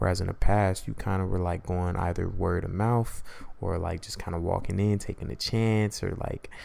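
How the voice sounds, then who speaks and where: A man speaks with a very deep, low pitch at a moderate pace. His tone is dark and mellow. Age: 20s. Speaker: podcast host. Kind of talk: casual solo monologue. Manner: laid-back conversational.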